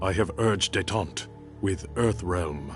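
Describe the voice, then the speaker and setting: A man's put-on character voice, very deep and low in pitch, at a fairly slow pace over clear music in the background. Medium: short film. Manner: measured, formal.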